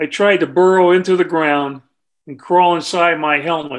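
Against a quiet background, a man with an American accent and a high pitch speaks at a fairly slow pace with ordinary pitch variation. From California. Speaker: war veteran; author. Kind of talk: book reading. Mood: somber war narrative. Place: home room. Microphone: webcam.

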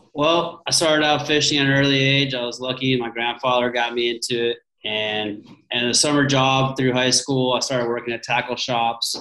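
A man talks with fairly even intonation, and audible room echo surrounds his voice. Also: moderate pace. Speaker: guest. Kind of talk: interview answer. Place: home room. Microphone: video call.

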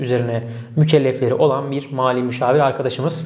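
The intonation here is flat and monotone. A man delivers it at a fairly quick clip. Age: 30s. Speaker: e-commerce consultant; e-commerce educator. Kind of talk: tutorial. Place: office. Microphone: lapel.

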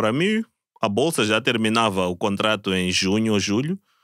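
Heard against a quiet background with a dry sound and no echo, a man speaks at a moderate pace and medium pitch with ordinary pitch variation. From Mozambique. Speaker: Olympic swimmer; podcast guest. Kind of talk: casual chat. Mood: relaxed, laughing at times. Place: studio. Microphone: studio mic.

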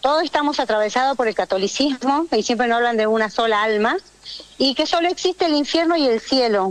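A woman talks fairly quickly at a high pitch. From Jujuy, northwest Argentina. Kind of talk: radio interview.

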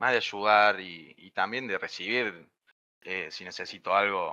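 A man with a Córdoba Argentine accent speaks fairly slowly in a fairly low pitch with a bright, sharp tone, big swings in loudness and fairly even intonation over a quiet background. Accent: Cordoba Argentine accent, noticeable. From Argentina, Río Cuarto, Córdoba. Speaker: software development student. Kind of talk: casual chat. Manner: halting.

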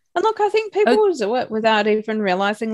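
A woman's fairly high, very fast voice in an Australian accent, over a quiet background. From Australia, Broken Hill, far western New South Wales; New South Wales. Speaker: life coach and motivational speaker; life coach, motivational speaker. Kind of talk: casual interview. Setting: remote call from Australia at night. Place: home room. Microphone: video call.

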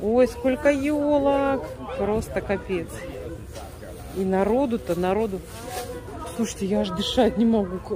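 A woman at a very slow pace with lively intonation and long, frequent pauses, dry sound with no echo, crowd noise in the background. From Siberia, Russia. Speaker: vlogger, home cook, Russian immigrant in US. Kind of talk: casual vlog, cooking and shopping. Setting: kitchen and store, recorded on the go. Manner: animated, chatty. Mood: delighted, admiring. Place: shop. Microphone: phone near.

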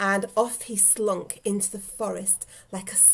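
This is an unforced reading voice. Nothing else is described.

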